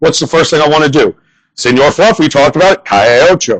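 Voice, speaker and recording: This man has a fairly high pitch and an American accent, with lively intonation. He speaks at a moderate pace, and the sound is dry and close with no echo. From northern US. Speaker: comedian. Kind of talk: stand-up.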